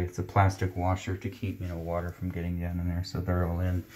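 A man's very deep, low voice, somewhat breathy, at a moderate pace. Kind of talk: explanation to a customer. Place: bathroom. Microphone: phone near.

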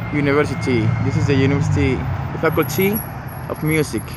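Loud background noise sits behind the voice, which has a dry sound with no echo. The pace is moderate. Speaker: local walking guide. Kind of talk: casual vlog tour commentary. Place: street. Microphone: phone near.

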